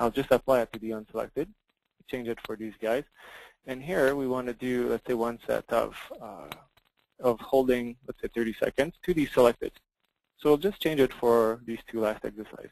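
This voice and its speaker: A man with a French accent talks at a moderate pace and medium pitch, with long, frequent pauses and big swings in loudness, in a dry, close sound with no echo. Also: ordinary pitch variation. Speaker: software company representative. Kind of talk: software demo. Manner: halting.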